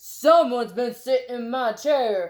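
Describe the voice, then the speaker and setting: Doing a put-on character voice, a woman speaks at a high pitch and a moderate pace. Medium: read story.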